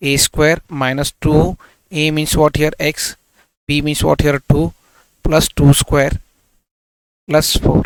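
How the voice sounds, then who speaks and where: In a dry, close recording with no echo, a man with an Indian accent speaks fairly slowly at a fairly high pitch. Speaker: maths teacher. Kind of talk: tutorial.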